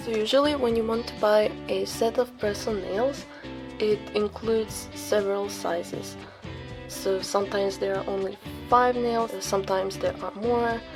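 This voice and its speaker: A woman speaks at a moderate pace with a non-native accent. Music plays in the background. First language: not English. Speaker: nail artist. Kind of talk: tutorial voice-over.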